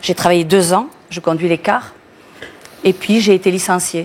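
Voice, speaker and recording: A woman with a fairly low voice speaks at a moderate pace with ordinary pitch variation over noticeable background noise. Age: 60s. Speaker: bus driver. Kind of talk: TV interview. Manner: halting.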